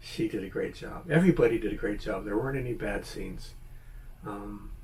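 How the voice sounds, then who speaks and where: Audible room echo surrounds a man speaking at a fairly quick pace with an American accent. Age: 70s. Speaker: YouTuber, movie reviewer. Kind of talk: casual video review monologue. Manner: hesitant, many fillers and restarts.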